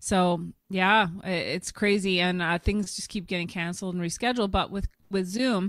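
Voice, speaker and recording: A woman with a Canadian accent uses a normal speaking voice at a medium pitch, keeping a moderate pace and fairly even intonation in a very clean recording with a silent background. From Ottawa, Canada. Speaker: stand-up comedian and keynote speaker. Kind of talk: podcast interview answer.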